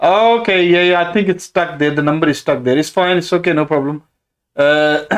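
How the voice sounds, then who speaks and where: A man speaks at a fairly quick pace in a high voice. His loudness stays very even, and his pitch varies in an ordinary way. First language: Urdu. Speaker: property investor and stock trader. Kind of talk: live stream Q&A. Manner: halting, many fillers.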